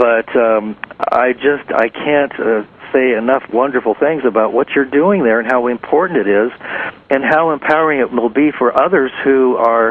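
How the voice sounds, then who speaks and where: With noticeable background noise behind him, a man speaks with very even loudness and ordinary pitch variation. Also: medium pitch for a man, moderate pace. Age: 60s. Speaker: talk show host. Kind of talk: interview. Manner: halting.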